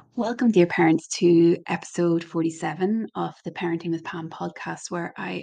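A woman's fairly low, dark and mellow voice with an Irish accent, fairly even intonation, and a quiet background. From Ireland. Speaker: parenting podcast host and coach.

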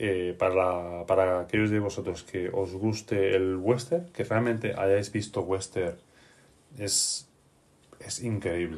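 Rather low male speech, fairly level in intonation. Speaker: podcast host and game master. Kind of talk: casual chat.

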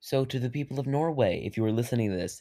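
A man with a dark, mellow tone talks at a fairly quick pace in a calm tone, with ordinary pitch variation, on a very clean recording with a silent background. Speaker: solo podcaster. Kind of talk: casual monologue. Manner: calm, subdued; rambling with fillers.

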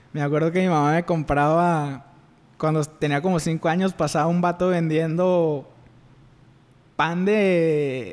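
A man with a fairly high pitch, a very slow pace, long and frequent pauses, and very even loudness. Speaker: podcast co-host. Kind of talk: casual chat.

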